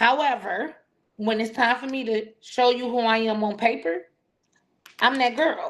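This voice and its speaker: A woman speaks in a high pitch. Her pace is moderate. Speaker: teacher. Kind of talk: casual conversation. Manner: informal, slangy.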